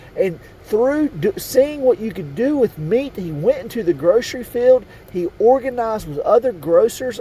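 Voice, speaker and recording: Noticeable background noise under a man's high voice, delivered at a moderate pace. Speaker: conspiracy video host. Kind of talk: monologue to camera.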